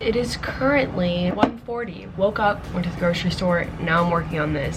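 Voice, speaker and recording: A woman whispering at a fairly quick pace, with audible room echo and noticeable background noise. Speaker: fashion youtuber. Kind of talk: casual vlog narration. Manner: quiet, almost whispering.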